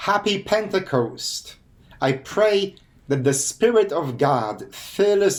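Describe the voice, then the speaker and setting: Lively intonation runs through a man's very slow speech. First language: Polish. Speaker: pastor and hospice chaplain. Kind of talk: sermon; channel outro.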